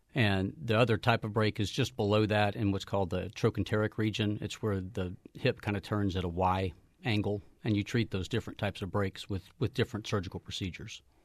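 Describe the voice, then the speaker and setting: Dry and close with no echo, the recording carries a man's ordinary speaking voice, fairly low in pitch, at a fairly quick pace with fairly even intonation. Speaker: orthopedic surgeon. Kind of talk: radio interview. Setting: studio.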